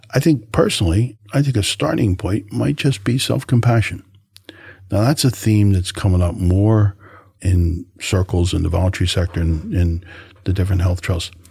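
Very deep and low, this man's voice has a dark, mellow tone and is somewhat breathy. He moves at a moderate pace with lively intonation and very even loudness. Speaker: health service counsellor. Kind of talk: casual interview chat.

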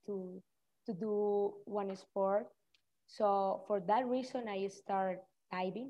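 At a very slow pace, a woman speaks at a medium pitch. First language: Spanish. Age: young. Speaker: cliff diver. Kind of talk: interview. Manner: halting.

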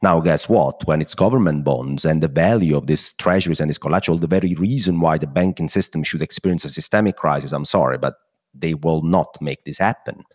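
Speaking with an Italian accent, a man with a very deep, low pitch and vocal fry moves at a fairly quick pace with hardly any pauses and ordinary pitch variation, in a dry, close sound with no echo. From Italy. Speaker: macro strategist. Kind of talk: debate.

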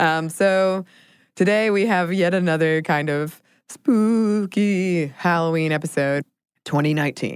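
In a very clean recording with a silent background, a woman talks at a fairly slow pace with a fairly low pitch and ordinary pitch variation. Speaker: podcast co-host. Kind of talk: casual chat with scripted history segments. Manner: rising question-like intonation when saying her name.

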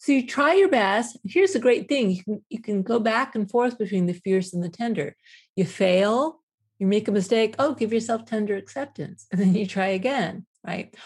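At a moderate pace, a woman speaks with a somewhat breathy voice and a fairly high pitch. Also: ordinary pitch variation, quiet background. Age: 50s. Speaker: professor and self-compassion researcher. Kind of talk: interview.

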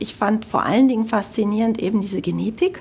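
A woman speaks in a Cologne accent at a fairly quick pace. Her pitch is fairly high, with ordinary variation. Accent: German from Cologne, audible. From Germany, Cologne (Rhineland). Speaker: health tech sales executive. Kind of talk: interview. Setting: studio.

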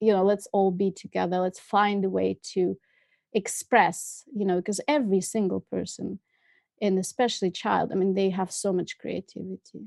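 This woman's pace is moderate. Her recording sounds dry and close, free of echo. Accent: Russian. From Russia, Moscow. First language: Russian. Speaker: filmmaker. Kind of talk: interview.

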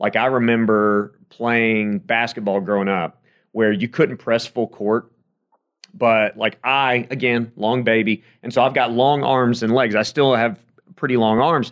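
In a plain, everyday voice, a man with an American accent speaks at a fairly slow pace and medium pitch. His pitch varies in an ordinary way, and the background is quiet. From South Carolina. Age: 30s. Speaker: sports radio host and play-by-play announcer. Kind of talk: casual interview chat.

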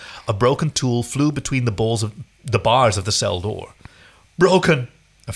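An unforced voice for reading aloud, its pitch moving in the usual way

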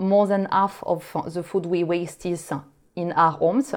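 In a French accent, a woman talks at a moderate pace with a fairly low pitch and fairly even intonation. The background is quiet. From France. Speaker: startup co-founder. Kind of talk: interview. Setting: remote recording. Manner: hesitant, many fillers.

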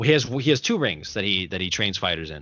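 Animated in tone, a man at medium pitch talks with very wide pitch swings. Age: 20s. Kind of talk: casual chat. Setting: studio.

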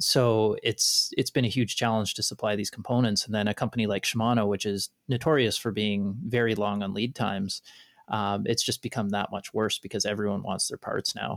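The speech moves at a fairly quick pace in an ordinary speaking voice. The sound is dry and close, with no echo. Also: man, fairly low pitch for a man. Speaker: podcast co-host. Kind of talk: casual interview chat.

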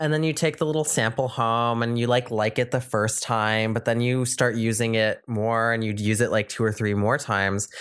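A man with an unremarkable speaking voice talks at a medium pitch and moderate pace with hardly any pauses. His intonation is fairly even, his loudness very even, and the recording very clean with a silent background. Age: under 31. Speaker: podcast co-host. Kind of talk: casual chat.

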